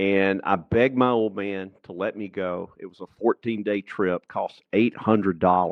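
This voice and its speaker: Fairly even intonation with a Southern US accent. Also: man. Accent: Southern US (Georgia). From US South, rural Georgia. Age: 60s. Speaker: entrepreneur and author. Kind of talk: podcast interview.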